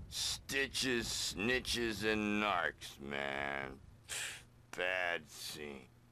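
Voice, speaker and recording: A man uses a put-on character voice, very deep and low. He delivers it at a very slow pace. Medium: video game. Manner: erratic, excitable.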